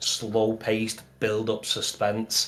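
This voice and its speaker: Here a man speaks at a medium pitch with a Mancunian accent. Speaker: gaming podcast co-host. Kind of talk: casual chat. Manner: halting.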